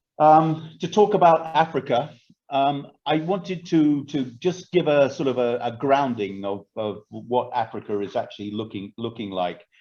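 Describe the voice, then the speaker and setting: Barely pausing, a man speaks at a fairly high pitch with lively intonation. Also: moderate pace. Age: 60s. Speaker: agribusiness expert. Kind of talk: online presentation. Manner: hesitant, many fillers.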